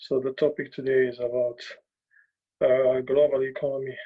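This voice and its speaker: A man with a medium-pitched voice and a dark, mellow tone speaks at a moderate pace in a monotone, flat intonation. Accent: non-native. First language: not English. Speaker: journalist. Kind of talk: talk. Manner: halting.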